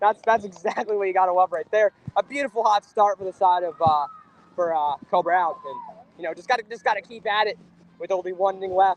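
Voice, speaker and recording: A man speaks at a fairly quick pace in a high pitch, with big swings in loudness. The sound is dry and close with no echo, though noticeable background noise is present. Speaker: amateur sports commentator streamer. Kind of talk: live commentary. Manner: casual, stammering.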